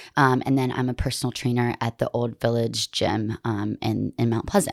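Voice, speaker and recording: A woman speaks at a moderate pace. The recording is very clean, with a silent background and a dry, close sound with no echo. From US South, Montgomery, Alabama. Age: 20s. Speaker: personal trainer. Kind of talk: casual chat.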